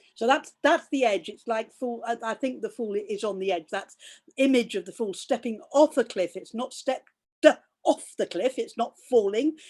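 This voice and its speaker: In an English accent, a woman speaks at a fairly high pitch with lively intonation. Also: moderate pace. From England. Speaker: fooling teacher. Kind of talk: interview conversation. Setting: video call. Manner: halting with repetitions.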